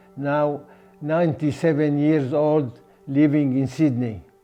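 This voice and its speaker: A man's fairly high voice at a very slow pace, fairly even in intonation, with music in the background. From Sudan. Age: 80s+. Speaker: oral history interviewee. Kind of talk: life story interview. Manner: halting.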